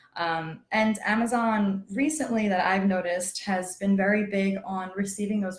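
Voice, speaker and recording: The woman's pitch is medium and her intonation fairly even. She speaks at a moderate pace. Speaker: paralegal. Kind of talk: panel discussion. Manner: soft-spoken.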